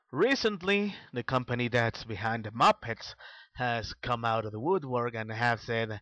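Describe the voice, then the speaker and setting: In a non-native accent, the speaker talks at a fairly slow pace with a bright, sharp tone, recorded with dry, close sound, no echo, and a quiet background. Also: man. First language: not English. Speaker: vlogger. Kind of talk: opinion monologue. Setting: voice-only video, no camera. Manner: halting, with fillers.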